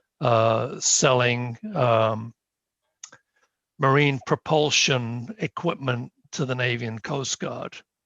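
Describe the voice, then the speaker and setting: A man with a medium-pitched voice talks at a very slow pace with long, frequent pauses and ordinary pitch variation, the sound dry and close with no echo. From UK. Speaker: planning board member, engineer. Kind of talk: self-introduction at a town board meeting. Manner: halting, many fillers.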